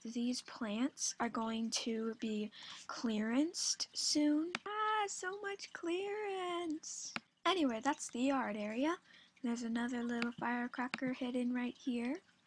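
A soft-spoken woman talks at a very slow pace in a high pitch. Her intonation is lively. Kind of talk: casual game tour talk to viewers. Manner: soft-spoken, uneven volume; energetic, chatty.

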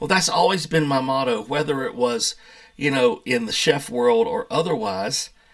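A fairly high-pitched man with an American accent, at a moderate pace with very wide pitch swings. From US South, North Carolina mountains. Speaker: YouTuber, pastor, chef and distiller. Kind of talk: casual vlog monologue. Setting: home office. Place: home room. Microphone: webcam.

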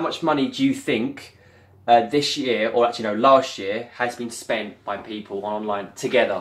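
With a strong British accent, a man speaks at a moderate pace in a bright, sharp tone. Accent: thick British. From UK. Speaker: vlogger. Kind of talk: casual chat. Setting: at home on camera. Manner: animated. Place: home room. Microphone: webcam.

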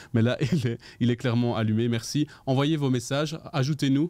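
A man's dark, mellow voice sits at medium pitch, moving at a moderate pace with ordinary pitch variation. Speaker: livestream show host. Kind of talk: casual live chat show. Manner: animated. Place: studio. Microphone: studio mic.

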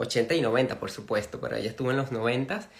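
A man speaks against a quiet background. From Venezuela. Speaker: interviewer, channel host. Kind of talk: live stream interview. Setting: live video stream. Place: home room. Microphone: phone near.

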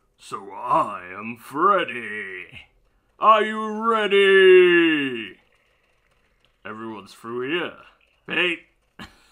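A man does a put-on character voice, pitched high. He speaks very slowly, with long, frequent pauses. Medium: role play. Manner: teasing, playful.

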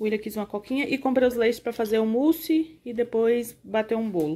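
A woman speaks at a fairly quick pace in a dark, mellow tone. Her pitch varies in an ordinary way. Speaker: family vlogger. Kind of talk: casual vlog chat. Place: home room. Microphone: phone near.

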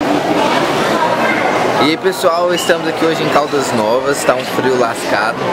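Man talking at a moderate pace, long frequent pauses, loud background noise. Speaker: vlogger. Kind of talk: casual vlog talk to camera. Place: shop. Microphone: phone near.

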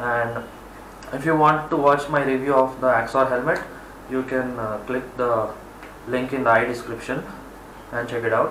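Audible room echo and light background noise frame a man speaking in a monotone with flat intonation at a moderate pace, with long, frequent pauses. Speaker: product reviewer. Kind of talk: product review. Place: home room. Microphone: camera far.

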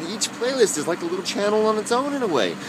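A man talks with lively intonation while noticeable background noise carries on around him. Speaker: YouTube vlogger. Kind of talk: casual vlog monologue. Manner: halting, many fillers and repeats.

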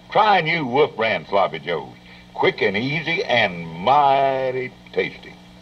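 Over noticeable background noise, a man talks at a very slow pace and medium pitch with very wide pitch swings. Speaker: pioneer broadcaster and commercial pitchman. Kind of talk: vintage TV commercial read. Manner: folksy, friendly, homespun.

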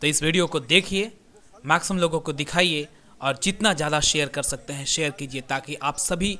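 The man's voice is fairly high in pitch with a bright, sharp tone. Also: ordinary pitch variation. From India. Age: 20s. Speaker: YouTuber. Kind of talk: live commentary. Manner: animated.

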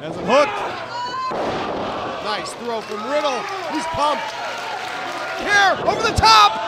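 Over loud background noise, the voice crawls along at a very slow pace with long, frequent pauses. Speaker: wrestling commentator. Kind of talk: live wrestling commentary. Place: hall. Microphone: headset.

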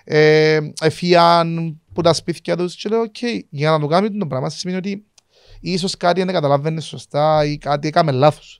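Moderate pace and ordinary pitch variation, in a dry sound with no echo against a quiet background. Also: man. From Cyprus. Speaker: podcast host. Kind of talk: casual interview chat. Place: studio. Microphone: studio mic.

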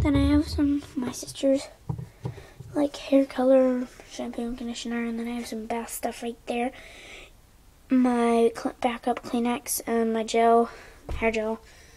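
A woman with a high pitch speaks in a flat, monotone way at a fairly slow pace. Her pauses are long and frequent. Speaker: home vlogger. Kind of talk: casual vlog chat tour. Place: bathroom. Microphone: phone near.

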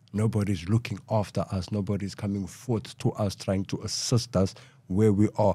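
In a very clean recording with a silent background, a man with a fairly low pitch talks at a moderate pace. His tone is dark, mellow and somewhat breathy, with flat, monotone intonation. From Cape Town, South Africa. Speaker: former gangster, community voice. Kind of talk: interview discussion.

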